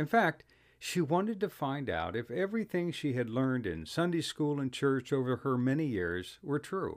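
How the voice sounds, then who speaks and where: Through a very clean recording with a silent background, a man with an American accent speaks at a moderate pace and fairly high pitch, with very wide pitch swings. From Ohio. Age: 70s. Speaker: storyteller. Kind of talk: scripted narration.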